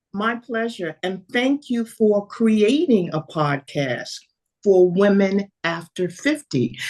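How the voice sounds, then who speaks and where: A woman talks at a very slow pace with a New York accent. Her pitch swings very widely. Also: medium pitch for a woman. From New York City. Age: 70s. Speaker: fitness coach. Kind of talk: interview.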